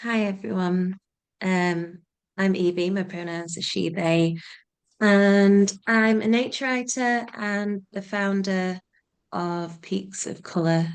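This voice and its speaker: Speaking at a very slow pace, a woman with a Yorkshire accent keeps a medium pitch and fairly even intonation. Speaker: nature writer and community group founder. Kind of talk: panel introduction.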